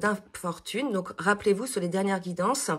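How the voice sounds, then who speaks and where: Moderately paced female speech amid noticeable background noise. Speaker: spiritual card reader. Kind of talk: tarot reading monologue. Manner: hesitant, many fillers.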